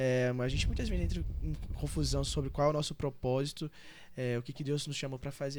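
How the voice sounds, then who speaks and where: Over a silent background in a very clean recording, a man with a fairly high pitch talks at a very fast pace. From Brazil, Goiás (Valparaíso, near Brasília). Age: 20s. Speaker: church member, pastor's son. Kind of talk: podcast interview.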